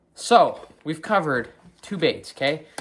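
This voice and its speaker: A man talks with a Wisconsin accent. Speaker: fishing video creator. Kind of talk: tutorial. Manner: hesitant, many fillers.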